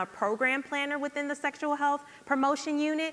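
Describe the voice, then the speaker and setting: A high-pitched woman with an American accent at a fairly quick pace, amid noticeable background noise. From US Midwest, Saint Louis, Missouri. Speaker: public health program planner. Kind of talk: conference presentation. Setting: stage with audience.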